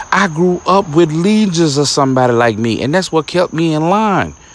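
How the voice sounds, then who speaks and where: A man speaks with lively intonation at a fairly high pitch, over noticeable background noise. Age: 40s. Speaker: comedian and podcast host. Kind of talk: casual monologue rant. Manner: animated.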